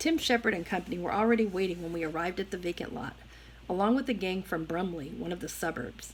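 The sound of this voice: Pitch varies in an ordinary way across this unforced reading.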